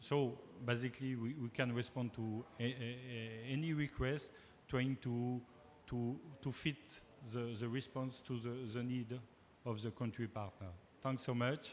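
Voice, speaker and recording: At a fairly slow pace, the speaker talks in a French accent with monotone, flat intonation. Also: man, medium pitch for a man. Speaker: panel moderator. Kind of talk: panel discussion. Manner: halting, many fillers.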